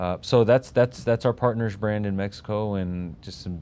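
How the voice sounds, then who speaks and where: Here a man speaks with an American accent. His pace is moderate and his intonation fairly even. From Texas. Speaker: business executive, military veteran. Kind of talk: casual interview. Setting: studio.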